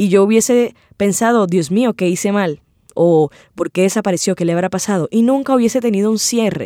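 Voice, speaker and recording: Speaking fairly quickly at a medium pitch with ordinary pitch variation, a woman has a dark, mellow tone in a dry, close sound with no echo. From Cartagena, Colombia. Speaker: storyteller and interviewer. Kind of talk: personal testimony.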